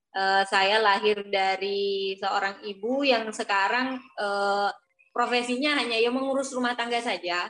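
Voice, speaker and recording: The woman's tone is bright and sharp, at a medium pitch. She speaks fairly slowly with fairly even intonation. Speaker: university student and guest. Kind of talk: interview answers. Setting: video call.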